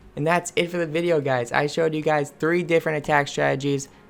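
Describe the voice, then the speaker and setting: Speech at a very fast pace runs over music in the background. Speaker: gaming youtuber. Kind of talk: gameplay tutorial commentary. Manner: animated.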